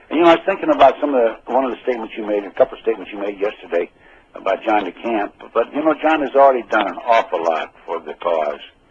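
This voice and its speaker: Through noticeable background noise, a man at medium pitch talks at a very fast pace with very wide pitch swings. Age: 70s. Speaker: retired FBI agent, radio co-host. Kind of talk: casual chat. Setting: radio show.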